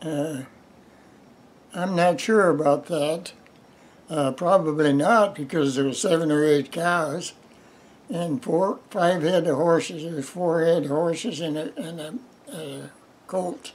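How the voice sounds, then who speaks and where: With a Midwestern US accent, a man talks at a fairly slow pace in a high voice. His pitch varies in an ordinary way, and he takes long, frequent pauses. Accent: rural Midwestern American. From US Midwest. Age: 90s. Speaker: retired farmer. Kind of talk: oral history interview. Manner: halting.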